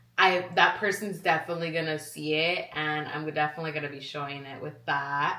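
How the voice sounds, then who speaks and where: Against noticeable background noise and audible room echo, a woman speaks in an animated tone at a fairly quick pace. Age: 20s. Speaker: vlogger. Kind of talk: casual chat.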